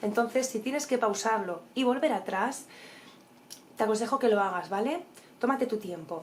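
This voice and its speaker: A woman's animated voice with lively intonation at a moderate pace, broken by long, frequent pauses, over noticeable background noise. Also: fairly high pitch for a woman. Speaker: tarot reader. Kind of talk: horoscope reading.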